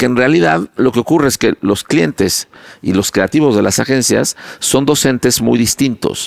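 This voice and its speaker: Lively intonation and an animated tone mark this man's medium-pitched voice, heard with a Mexican accent in a dry, close sound with no echo. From Mexico. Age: 50s. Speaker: advertising executive. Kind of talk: interview.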